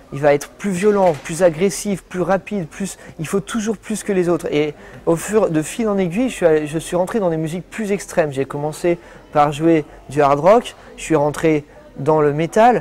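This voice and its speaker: Background noise is noticeable throughout. The speech moves at a moderate speed. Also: man, high pitch for a man, ordinary pitch variation. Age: 20s. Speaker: professional guitarist. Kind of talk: testimony. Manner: halting.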